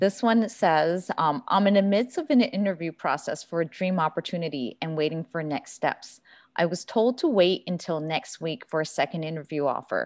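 This woman has an ordinary speaking voice at a fairly low pitch. She talks at a moderate pace with lively intonation and hardly any pauses, against a quiet background. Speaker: alumni club president, moderator. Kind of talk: panel moderation.

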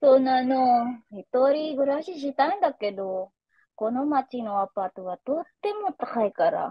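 A woman's high voice with very wide pitch swings, at a fairly slow pace, dry with no echo against a quiet background. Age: 20s. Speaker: language learner. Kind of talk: scripted conversation practice. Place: home room. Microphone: video call.

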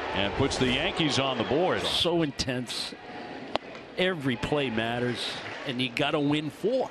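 Over noticeable background noise, a man with a fairly high pitch sounds animated and excited, his pitch varying in an ordinary way and his loudness very even, with long, frequent pauses. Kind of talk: live sports commentary. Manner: fast, excited play-by-play delivery; animated, rising on big moments.

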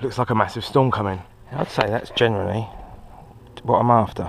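A man's voice with vocal fry and ordinary pitch variation

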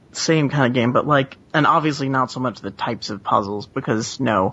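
Noticeable noise fills the background while the words come at a fairly quick clip. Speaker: podcast panelist. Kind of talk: casual chat.

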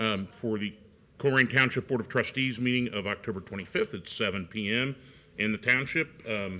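A man speaks at a moderate pace in a bright, sharp tone, his pitch varying in an ordinary way. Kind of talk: formal meeting chairing. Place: hall. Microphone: podium.

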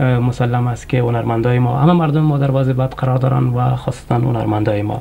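The voice has a dark, mellow tone, vocal fry and fairly even intonation over faint background noise. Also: man, medium pitch for a man.

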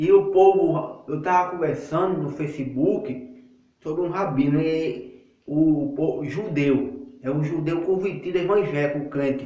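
With audible room echo around him, a man speaks fairly slowly at a fairly high pitch. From Northeast Brazil, Paraíba; Northeast Brazil. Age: 20s. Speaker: lay evangelist YouTuber. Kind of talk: religious monologue. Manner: halting. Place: bathroom. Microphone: phone near.

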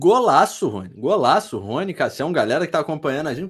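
Over a quiet background, a man talks at a high pitch with a Brazilian accent. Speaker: sports commentator. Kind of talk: sports match analysis. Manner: analytical, conversational. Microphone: webcam.

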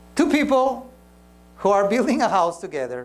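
A man speaks at a fairly quick pace with a Spanish accent and lively intonation. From Peru. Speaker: pastor; preacher or speaker. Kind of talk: sermon. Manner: halting, with frequent repetitions. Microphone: lapel.

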